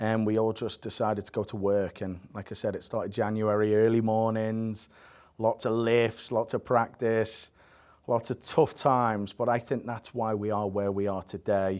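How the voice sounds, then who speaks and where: The speaker has an English accent and a monotone, flat intonation at a moderate pace. The recording is very clean, with a silent background. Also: man, medium pitch for a man. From England (Southport), childhood in Spain. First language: Spanish. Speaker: college soccer head coach. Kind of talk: podcast interview.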